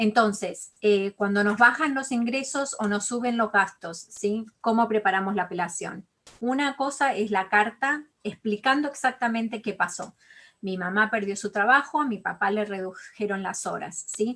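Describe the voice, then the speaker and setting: With an Argentine accent, a woman speaks at a fairly slow pace. Her fairly high pitch varies in an ordinary way, and her tone is bright and sharp. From Argentina. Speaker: college financial aid advisor. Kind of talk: online interview.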